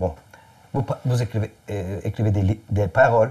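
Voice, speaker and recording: At a moderate pace, a man with a fairly low, somewhat breathy voice and a dark, mellow tone speaks with ordinary pitch variation. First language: Turkish (speaking French). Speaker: musician and interviewer. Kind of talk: interview. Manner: halting.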